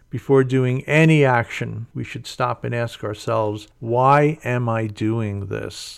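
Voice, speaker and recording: This is a plain, everyday voice. It moves at a fairly slow pace with fairly even intonation. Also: man. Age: 60s. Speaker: radio host and Buddhist teacher. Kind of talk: radio dharma talk. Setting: radio studio.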